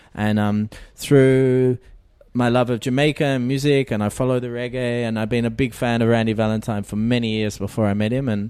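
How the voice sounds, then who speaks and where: A man with an Australian accent speaks at a fairly quick pace in a medium pitch. His tone is dark and mellow, his intonation monotone and flat. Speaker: music producer and keyboard player. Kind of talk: interview. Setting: music festival.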